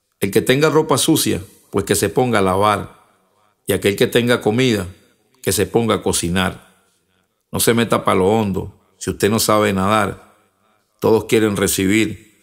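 The recording is very clean with a silent background, and a man speaks at a fairly low pitch with ordinary pitch variation and long, frequent pauses. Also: moderate pace. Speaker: rapper and spoken word poet. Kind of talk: spoken word poetry, rhymed verse. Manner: rhythmic, punchy, declamatory delivery.

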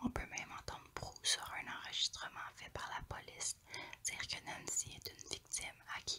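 Against noticeable background noise, a woman whispers at a fairly slow pace. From Quebec. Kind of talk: ASMR true crime narration. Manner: whispered.

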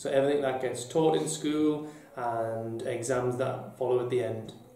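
There is audible room echo as a man speaks at a moderate pace with ordinary pitch variation. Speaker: deputy head teacher. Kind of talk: interview answer. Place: office.

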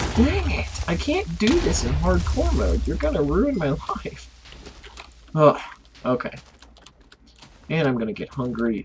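Noticeable background noise accompanies delivery that runs at a fairly slow pace. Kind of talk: casual video game commentary.

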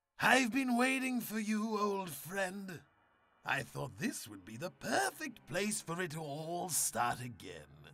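A put-on character voice at a middle pitch swings very widely in pitch while moving at a fairly slow pace. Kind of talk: audio comic drama. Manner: taunting, theatrical, unhinged.

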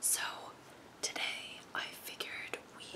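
A woman whispers. Her pace is very slow. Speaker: ASMR creator. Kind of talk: whispered ASMR flip-through of a magazine, casual talk to camera. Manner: whispered, soft-spoken. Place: home room. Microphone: earbuds.

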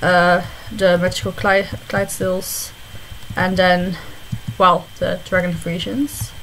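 A woman with a Dutch accent, medium in pitch, at a very slow pace amid noticeable background noise. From Netherlands. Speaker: online game video creator. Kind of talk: casual gameplay commentary.

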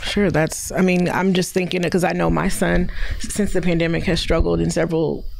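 The delivery moves at a fairly quick pace. Light background noise is audible. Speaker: talk show co-host. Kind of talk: casual interview. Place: home room. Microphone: handheld.

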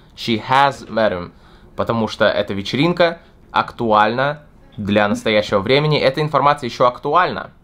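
A man's voice at medium pitch, with ordinary pitch variation and a fairly quick pace. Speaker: English teacher. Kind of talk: tutorial. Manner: unscripted, improvised. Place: home room.

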